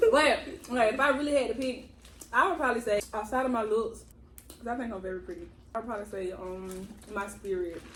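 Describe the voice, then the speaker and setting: Talking at a very fast pace with long, frequent pauses, a woman has a fairly high pitch, lively intonation and big swings in loudness, with noticeable background noise and audible room echo. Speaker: lifestyle vlogger. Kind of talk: casual chat. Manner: animated.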